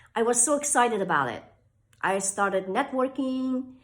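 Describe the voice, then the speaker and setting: A woman with a high pitch and ordinary pitch variation. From Iran. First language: Persian. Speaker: author and inspirational speaker. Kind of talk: motivational talk to camera.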